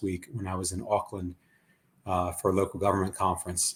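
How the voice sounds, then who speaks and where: A man with an Ohio accent on a very clean recording against a silent background. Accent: Ohio twang. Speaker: urban planner. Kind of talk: panel discussion.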